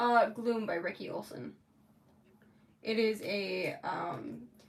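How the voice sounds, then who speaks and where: With an American accent, a woman talks as noticeable background noise sits in the recording. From Florida. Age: 20s. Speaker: makeup artist streamer. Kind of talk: casual chat. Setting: livestream. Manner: chatty, filler-heavy.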